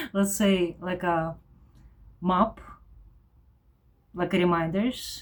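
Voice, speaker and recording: Speech comes at a very slow pace in a strong Eastern European accent, with long, frequent pauses. The intonation is monotone and flat. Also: woman, medium pitch for a woman. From former Soviet Union. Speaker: vlogger. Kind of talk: personal vlog monologue. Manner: halting, with fillers.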